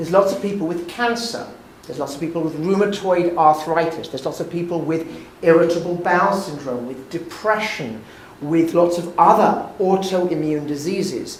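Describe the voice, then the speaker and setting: Amid noticeable background noise and audible room echo, a high-pitched man with a British accent speaks at a moderate pace with ordinary pitch variation. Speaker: physician and lecturer. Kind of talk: lecture.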